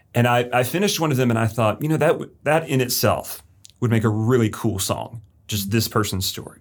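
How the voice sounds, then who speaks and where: Speaking at a fairly quick pace with an American accent, a man uses a normal speaking voice at a medium pitch with ordinary pitch variation. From Florida, Lakeland. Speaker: high school English teacher. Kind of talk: interview.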